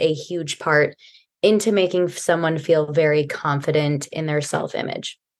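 This is a woman with an ordinary speaking voice. Her pitch is fairly low, and her pace is moderate. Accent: American. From US Midwest. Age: young. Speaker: personal and wardrobe stylist. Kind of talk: podcast interview.

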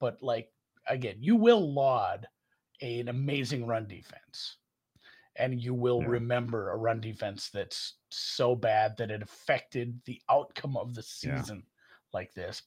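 Somewhat breathy and at a fairly slow pace, a man with a medium pitch and a Minnesota accent shows big swings in loudness. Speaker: podcast co-host. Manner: casual, rambling, conversational.

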